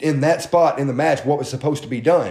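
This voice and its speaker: This is an ordinary speaking voice from a man. He talks at a fairly quick pace with a fairly high pitch. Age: 30s. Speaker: podcast host and independent wrestler. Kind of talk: casual chat.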